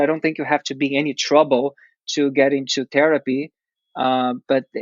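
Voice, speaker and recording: Speaking with a Portuguese accent, a man talks at a fairly high pitch. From Brazil. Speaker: dancer and actor. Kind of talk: interview. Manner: halting, many fillers.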